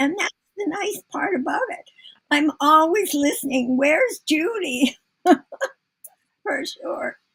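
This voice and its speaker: A woman speaks at an extremely high pitch, very slowly, with long, frequent pauses. Her intonation is lively. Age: 80s+. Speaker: author and former healthcare CEO. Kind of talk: live mentoring session. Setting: live video broadcast.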